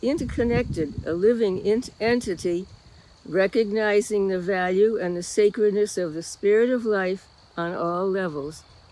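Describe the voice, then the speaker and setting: A woman talks at a fairly slow pace with a medium pitch and ordinary pitch variation. Noticeable background noise is present. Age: 90s. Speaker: lay speaker at a church service. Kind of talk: reflection talk in a worship service.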